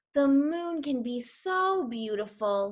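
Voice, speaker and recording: A woman's put-on character voice, high-pitched, at a fairly slow pace, with very wide pitch swings. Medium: read story.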